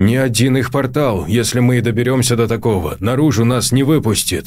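Light background noise accompanies a man talking at a fairly quick pace and medium pitch, with very even loudness and ordinary pitch variation. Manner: commanding, increasingly alarmed.

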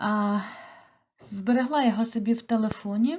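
With a dark, mellow tone, a woman speaks at a fairly high pitch using fairly even intonation. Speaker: toy knitter. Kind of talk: casual talk to camera.

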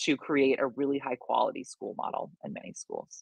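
The speaker has an American accent and talks at a fairly quick pace. The sound is dry with no echo, over a quiet background. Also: woman. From United States. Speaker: writer and education researcher; presenter. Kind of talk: presentation. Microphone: webcam.

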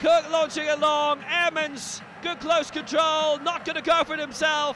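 Raising and projecting his voice, a man with an extremely high pitch speaks at a fairly slow pace amid noticeable background noise. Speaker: football commentator. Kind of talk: live football commentary over match highlights. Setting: studio voiceover over recorded match footage. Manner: punchy, rising intensity on goals.

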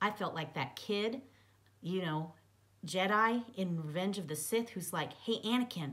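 A passage is read aloud in a natural voice.

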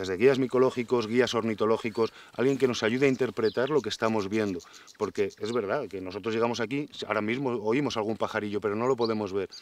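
The sound is dry with no echo. A man talks at a very fast pace with fairly even intonation. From Spain. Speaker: forest engineer and nature promoter; interviewee. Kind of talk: interview. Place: forest. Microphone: lapel.

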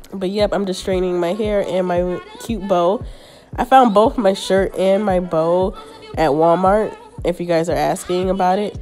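Over faint background music, a woman speaks at a moderate pace with fairly even intonation. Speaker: beauty YouTuber. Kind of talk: makeup tutorial voiceover. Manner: casual, chatty. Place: home room. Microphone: phone near.

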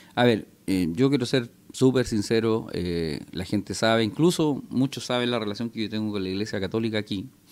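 A man is talking at a fairly quick pace. His pitch varies in an ordinary way. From Chile, Concepción; Chile. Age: 40s. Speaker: politician. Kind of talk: interview. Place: cafe. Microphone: studio mic.

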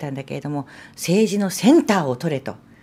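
Her voice has a dark, mellow tone and a fairly low pitch. The woman talks at a moderate pace. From Japan, Sendai (Miyagi); Miyagi, Japan. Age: 50s. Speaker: politician, former TV announcer. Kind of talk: interview conversation. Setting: studio, live stream. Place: studio. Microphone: studio mic.

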